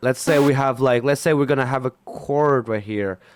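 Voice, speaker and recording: A man with a non-native accent and a fairly high pitch is heard in a very clean recording with a silent background, the sound dry and close with no echo. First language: not English. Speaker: music producer. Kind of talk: tutorial. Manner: hesitant.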